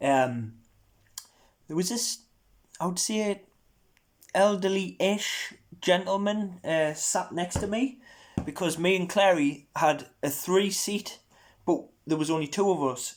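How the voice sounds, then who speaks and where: A man with an American accent speaks at a very slow pace in a high voice, his lively intonation broken by long, frequent pauses. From Northumberland, northern England. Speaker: podcast host. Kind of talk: casual chat. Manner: animated.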